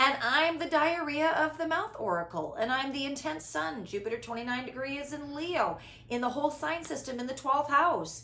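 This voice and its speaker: A woman speaks in a raised, projected, high voice at a moderate pace, with hardly any pauses. Her tone is animated and her intonation lively, with audible room echo and noticeable background noise. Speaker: spiritual podcast host. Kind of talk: casual chat. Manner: animated, big inflection; loud.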